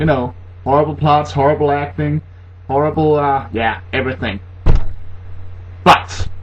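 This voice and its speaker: Noticeable background noise sits under a man talking at a medium pitch. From Denmark. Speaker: horror movie reviewer. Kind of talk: comedic movie review to camera. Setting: laptop built-in microphone. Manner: sarcastic, humorous.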